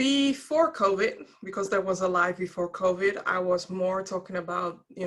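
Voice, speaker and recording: Speaking at a moderate pace, the voice carries a Dutch accent. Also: woman. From Netherlands. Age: 40s. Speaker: diversity and wellbeing speaker, podcaster. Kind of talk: interview.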